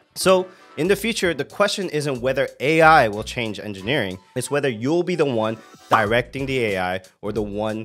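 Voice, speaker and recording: Faint music sits behind the voice. The man talks at a moderate pace. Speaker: tech content creator. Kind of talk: casual vlog commentary. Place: home room. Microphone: studio mic.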